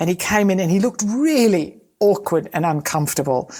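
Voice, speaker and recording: An Australian woman's voice, dark and mellow in tone, with lively intonation at a fairly quick pace. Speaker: safety consultant, podcast co-host. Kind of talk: casual conversation.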